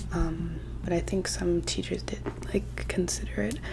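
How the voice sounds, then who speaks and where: The speaker is soft-spoken, with a relaxed tone and a moderate pace. Noticeable background noise runs underneath. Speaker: ASMR creator. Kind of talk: casual soft-spoken life update to camera. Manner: soft-spoken, rambling, relaxed.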